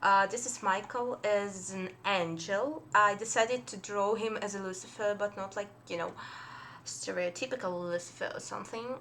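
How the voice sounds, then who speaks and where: Ordinary pitch variation marks a woman speaking at medium pitch. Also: moderate pace. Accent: Russian. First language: Russian. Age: 20s. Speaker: fan artist. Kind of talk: casual chat. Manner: halting.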